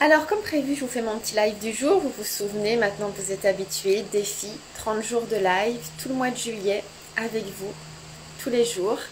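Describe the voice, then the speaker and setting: A woman at fairly high pitch with ordinary pitch variation, amid noticeable background noise and audible room echo. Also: moderate pace. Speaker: sex and couples therapist. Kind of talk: live social media chat. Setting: home, Instagram live. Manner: soft-spoken.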